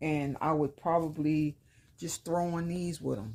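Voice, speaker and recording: The voice has a dark, mellow tone and an American accent, moving at a fairly slow pace. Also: woman. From New York, Brooklyn. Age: 50s. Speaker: lifestyle vlogger. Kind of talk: casual haul vlog. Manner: casual, conversational.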